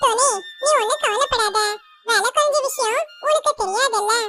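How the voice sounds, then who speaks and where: Putting on a squeaky character voice of extremely high pitch, a woman talks at a moderate pace with ordinary pitch variation. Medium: fan dub. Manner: smooth, bargaining.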